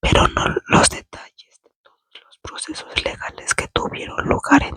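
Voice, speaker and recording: Whispering at a fairly slow pace, a woman is heard in a dry, close sound with no echo. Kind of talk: whispered ASMR book reading. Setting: indoors, bedroom. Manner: whispered, soft-spoken, slow.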